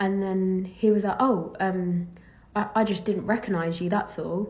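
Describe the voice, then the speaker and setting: A woman with an English accent speaks fairly slowly in a somewhat breathy voice at medium pitch. Her intonation is flat and monotone, and the room echo is audible. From England. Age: young. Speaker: professional golfer. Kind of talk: casual vlog monologue.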